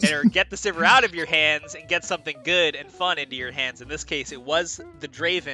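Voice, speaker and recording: A man speaks at a fairly quick pace with hardly any pauses, his fairly high voice showing ordinary pitch variation and big swings in loudness over music in the background. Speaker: esports caster. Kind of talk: post-game interview.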